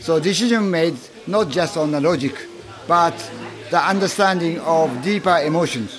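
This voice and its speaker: A man with a Japanese accent speaks at a moderate pace in a high pitch, leaving long, frequent pauses, with ordinary pitch variation. His loudness stays very even over noticeable background noise. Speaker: author and travel industry professional. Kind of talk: interview. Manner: halting.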